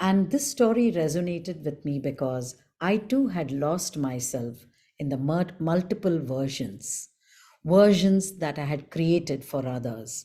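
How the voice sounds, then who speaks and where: Soft-spoken and dark, mellow in tone, a woman with fairly low pitch talks at a fairly slow pace with very wide pitch swings. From India. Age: 60s. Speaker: storyteller. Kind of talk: storytelling workshop. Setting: video call. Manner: clear enunciation.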